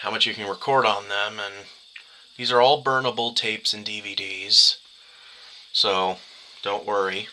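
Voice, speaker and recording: With fairly even intonation and a fairly low pitch, a man talks at a moderate pace, leaving long, frequent pauses while his loudness swings widely against noticeable background noise. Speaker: YouTuber reviewing media formats. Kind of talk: tutorial. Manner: halting, stuttering.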